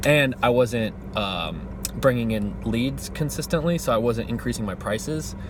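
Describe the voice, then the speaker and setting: This is a man talking. There's clear background noise behind his words. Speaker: vlogger living in his car, musician and web designer. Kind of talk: casual vlog monologue. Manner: fast; animated.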